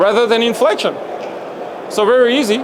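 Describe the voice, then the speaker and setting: A French accent amid noticeable background noise. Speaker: coaching clinic presenter. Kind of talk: presentation to convention audience.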